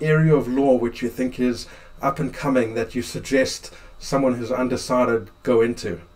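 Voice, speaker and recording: Here a man talks at a moderate pace. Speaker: lawyer host; interviewer, lawyer host. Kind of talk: interview conversation. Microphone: video call.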